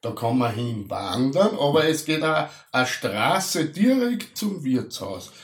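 A man with an Austrian accent speaks very slowly at a fairly high pitch, his voice making very wide pitch swings. Audible room echo and noticeable background noise fill the recording. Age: middle-aged. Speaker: podcast co-host. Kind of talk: casual chat. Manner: halting.

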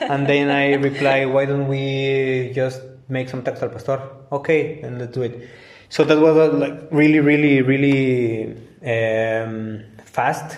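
At a fairly slow pace, a man in a Spanish accent speaks with fairly even intonation. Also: medium pitch for a man. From Mexico. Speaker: engineer and taco caterer. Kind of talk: casual interview. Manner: halting, repeats words.

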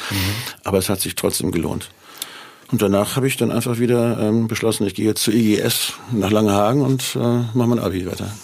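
A man speaks at a fairly quick pace with a medium pitch and fairly even intonation, over noticeable background noise. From northern Germany, near Hanover. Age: 60s. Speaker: musician. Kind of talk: casual interview.

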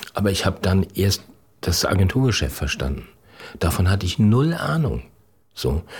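Very deep and low with vocal fry, a man's voice swings very widely in pitch at a moderate pace, broken by long, frequent pauses. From northern Germany, Schleswig-Holstein. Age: 60s. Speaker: corporate communications head. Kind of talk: interview.

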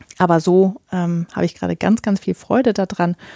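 A woman's voice, dry and close with no echo. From northern Germany. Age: 40s. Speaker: podcast host and romance novelist. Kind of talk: solo podcast monologue. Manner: many filler sounds.

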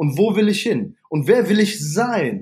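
A man speaks in a high pitch, his intonation lively. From Ruhr area, Essen (Germany). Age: 30s. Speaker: fitness studio manager. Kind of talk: interview.

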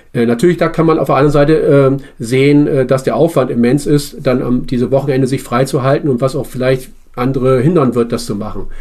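A man's dark, mellow voice at medium pitch, fairly quick in pace, with fairly even intonation. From Bremen, northern Germany. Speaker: citizens' assembly member. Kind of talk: interview. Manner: halting.

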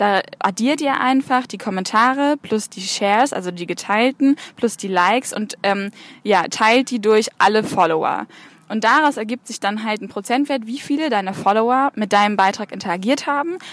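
A woman with an unremarkable speaking voice talks at a fairly high pitch, with ordinary pitch variation and big swings in loudness. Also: moderate pace. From northern Germany, Bremen. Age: 20s. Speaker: social media consultant. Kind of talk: interview.

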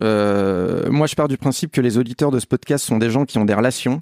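Recorded very cleanly against a silent background, a man speaks in a dark, mellow tone at a moderate pace with ordinary pitch variation, the sound dry and close with no echo. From France. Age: 30s. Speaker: football writer. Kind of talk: casual chat.

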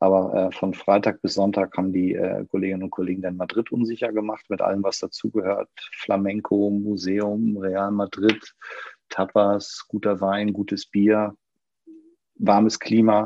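The man's voice sits at a fairly low pitch. He speaks fairly slowly, in a flat monotone. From northern Germany, Schleswig-Holstein. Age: 50s. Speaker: managing director of a banking consultancy. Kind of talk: online panel discussion.

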